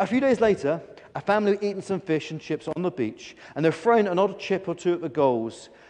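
Natural reading voice

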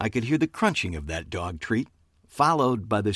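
Someone is reading aloud in a natural voice.

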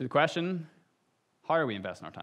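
Against a quiet background, a man with a Northern Irish accent speaks with ordinary pitch variation. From Northern Ireland, Lisburn. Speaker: lay preacher and copywriter. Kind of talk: sermon. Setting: church stage with audience.

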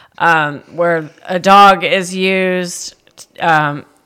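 A woman talks in a bright, sharp tone. Her intonation stays fairly even. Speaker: veterinarian. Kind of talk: casual chat.

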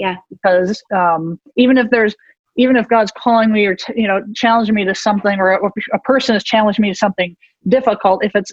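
A woman talks in a plain, everyday voice. Her pace is fairly quick and her pitch variation ordinary. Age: 50s. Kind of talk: interview.

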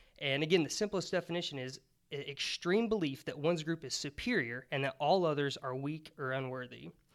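At a fairly quick pace, a man with an ordinary speaking voice speaks at a fairly high pitch with ordinary variation. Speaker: guest. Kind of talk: casual podcast discussion.

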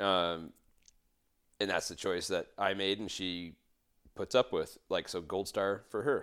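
On a very clean recording with a silent background, a man speaks at a fairly low pitch and fairly slow pace with fairly even intonation and long, frequent pauses. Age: 30s. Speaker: dirt bike racer. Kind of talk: casual chat. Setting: at the host's place.

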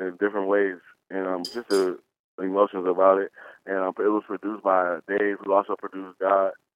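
Fairly low in pitch, a man talks at a fairly quick pace with monotone, flat intonation. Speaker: rapper. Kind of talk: casual interview.

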